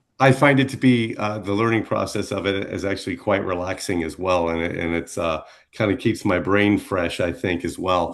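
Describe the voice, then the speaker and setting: Someone with a normal speaking voice talks at a moderate pace, with hardly any pauses and ordinary pitch variation. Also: man, fairly low pitch for a man. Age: 60s. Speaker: radio DJ. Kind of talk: interview.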